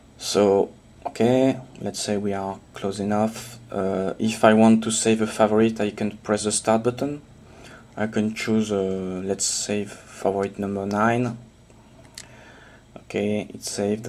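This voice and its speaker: Speaking at a fairly slow pace, a man with a fairly low pitch keeps his intonation monotone and flat. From France, Toulouse. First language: French. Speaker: homebrew software developer. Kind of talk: software demo tutorial. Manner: hesitant with fillers.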